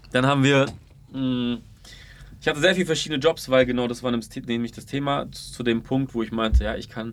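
At a fairly quick pace, a man with medium pitch and ordinary pitch variation talks in a normal speaking voice. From Ulm, Baden-Württemberg (Swabia). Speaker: marketing entrepreneur and video creator. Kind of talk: casual interview chat.

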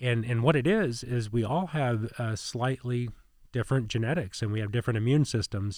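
At a fairly quick pace, a man with an American accent uses a normal speaking voice at a medium pitch with ordinary pitch variation, on a very clean recording with a silent background. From Indiana, US Midwest. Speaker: hospital president. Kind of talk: podcast interview. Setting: studio.

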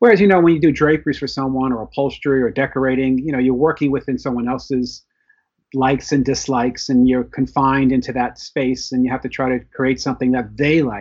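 Speaking very fast with an American accent, a man keeps a medium pitch and fairly even intonation. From New York (Bronx). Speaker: novelist. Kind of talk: casual interview. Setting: video call.

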